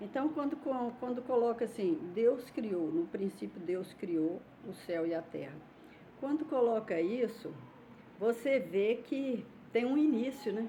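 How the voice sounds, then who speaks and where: A woman's fairly high voice moves with lively intonation at a fairly slow pace. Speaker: YouTuber, religious commentator. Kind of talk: casual vlog talk. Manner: informal, hesitant.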